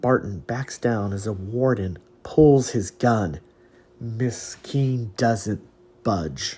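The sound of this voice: Ordinary variation in pitch across an unforced reading voice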